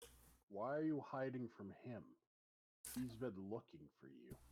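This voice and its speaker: A man puts on a character voice. It sits at a medium pitch. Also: moderate pace. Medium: actual play. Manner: blunt, terse.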